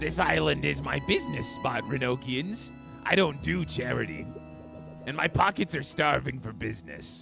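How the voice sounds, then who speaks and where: Over clear background music, a man in a put-on character voice speaks at a medium pitch and a moderate pace. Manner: greedy, domineering business-minded.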